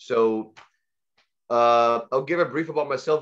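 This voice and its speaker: Against a quiet background, a man with an Arabic accent speaks at a medium pitch with ordinary pitch variation. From Egypt, raised in Saudi Arabia. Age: 20s. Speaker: guest speaker on language learning. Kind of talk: online presentation. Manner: halting, many fillers and repetitions.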